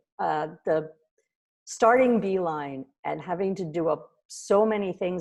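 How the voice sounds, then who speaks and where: A woman at a very slow pace, her dark, mellow tone carrying ordinary pitch variation. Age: 60s. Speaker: lawyer and startup founder. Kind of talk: casual interview chat.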